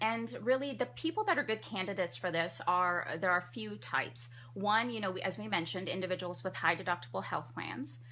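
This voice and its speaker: Talking at a very fast pace, a woman with a bright, sharp tone and vocal fry makes very wide pitch swings. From Trinidad. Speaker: family physician. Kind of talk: radio interview. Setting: studio.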